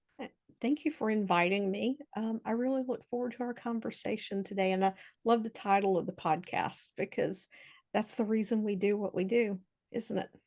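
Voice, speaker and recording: A woman's fairly high voice with an American accent, ordinary pitch variation and a moderate pace, over a quiet background. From Mississippi, US South. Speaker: hypnotherapist. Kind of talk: interview.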